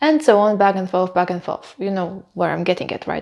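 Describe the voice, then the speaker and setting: This woman speaks with a non-native accent. Her pitch is medium. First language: not English. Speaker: book reviewer. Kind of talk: casual vlog review. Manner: hesitant, many fillers.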